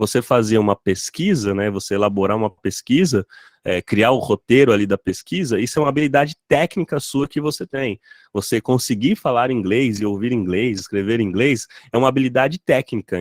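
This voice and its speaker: With an unremarkable speaking voice, a man talks at a moderate pace in a medium pitch and lively intonation, the sound dry and close with no echo on a very clean recording with a silent background. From interior of São Paulo state, Brazil. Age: 30s. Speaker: product designer. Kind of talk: talk presentation.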